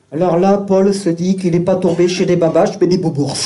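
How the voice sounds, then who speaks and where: The speaker is a man. He talks at a moderate pace. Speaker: storyteller. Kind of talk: live storytelling show.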